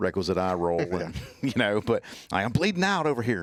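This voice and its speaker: A man with a strong Southern US accent talks at a fairly quick pace in an animated tone, in a very clean recording with a silent background. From US South, Mississippi (Natchez, Hattiesburg). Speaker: trauma medicine instructor and ER nurse. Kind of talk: casual podcast interview. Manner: animated, repeats words.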